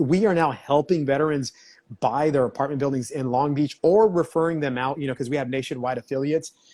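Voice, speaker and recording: At a very fast pace, a man speaks with a fairly high pitch, ordinary pitch variation, and a dark, mellow tone. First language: Spanish. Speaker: real estate agent. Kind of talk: casual interview.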